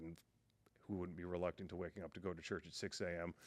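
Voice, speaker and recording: The voice is booming. The recording is very clean, with a silent background. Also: man. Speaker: podcast guest sharing faith testimony. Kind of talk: testimony.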